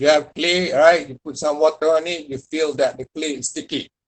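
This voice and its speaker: A man speaks with a Malaysian accent. His voice has a fairly high pitch. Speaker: university lecturer. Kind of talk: lecture.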